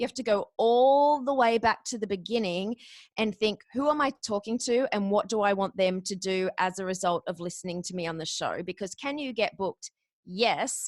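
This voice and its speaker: Fairly high-pitched woman with an Australian accent, moderate pace and ordinary pitch variation, in a dry, close sound with no echo. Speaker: podcast guest booker and former radio announcer. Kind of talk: interview. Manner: energetic.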